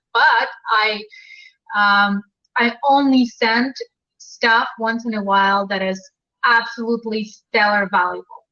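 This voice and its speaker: A woman in a Russian accent speaks at a fairly slow pace with long, frequent pauses, her fairly high voice bright and sharp. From Ukraine (Crimea). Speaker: dating and relationship coach, author. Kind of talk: live video chat interview. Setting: live video stream. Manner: animated.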